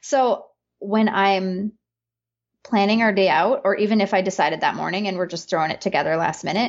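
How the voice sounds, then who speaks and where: A woman of medium pitch with an Upper Peninsula Michigan accent and ordinary pitch variation. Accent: Upper Midwest (Yooper) US. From Upper Peninsula of Michigan. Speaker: business consultant and homeschooling mother. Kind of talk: casual conversation.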